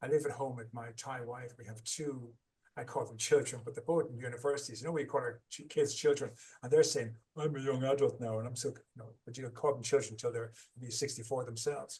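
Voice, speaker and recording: Very fast and somewhat breathy, a man with an Irish accent speaks at a medium pitch with fairly even intonation and big swings in loudness. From Ireland. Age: 60s. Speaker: author and trauma recovery coach. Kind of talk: podcast interview.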